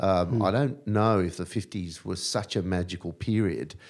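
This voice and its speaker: A man with an Australian accent, very deep and low in pitch, at a moderate pace with ordinary pitch variation. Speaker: podcast host. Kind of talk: casual chat. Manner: playful.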